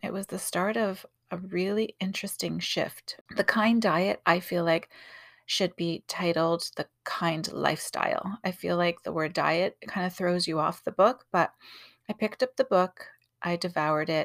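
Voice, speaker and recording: A plain, everyday voice from a woman at medium pitch, speaking at a fairly slow pace. The recording is very clean with a silent background and a dry, close sound with no echo. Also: ordinary pitch variation. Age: 40s. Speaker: podcast host and artist. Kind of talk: casual monologue. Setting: home closet with pillows.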